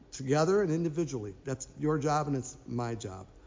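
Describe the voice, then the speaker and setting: A man speaks at a fairly quick pace in a fairly high pitch. His pitch swings very widely, and there is audible room echo. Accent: American. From Minnesota. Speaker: pastor. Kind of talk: announcements and sermon. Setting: online church service.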